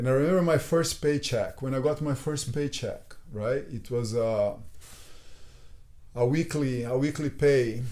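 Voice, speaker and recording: A man with a Brazilian accent talks at a fairly slow pace in a fairly high pitch, his dark, mellow tone showing ordinary pitch variation. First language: Portuguese. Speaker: jiu-jitsu instructor. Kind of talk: casual chat.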